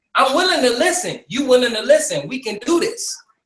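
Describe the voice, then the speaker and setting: A man's loud, animated voice at a moderate pace. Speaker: talk show host. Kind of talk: heated debate.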